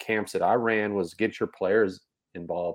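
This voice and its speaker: Here is a plain, everyday voice with an American accent. It moves at a moderate pace. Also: man. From Texas. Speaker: basketball coach and podcast co-host. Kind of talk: casual chat.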